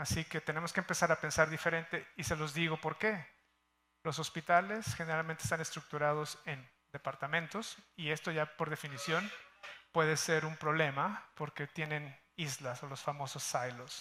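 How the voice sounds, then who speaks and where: At a moderate pace, a man talks in a bright, sharp tone at a fairly high pitch, keeping his intonation fairly even. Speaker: healthcare executive. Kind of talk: conference talk. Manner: casual, with many fillers.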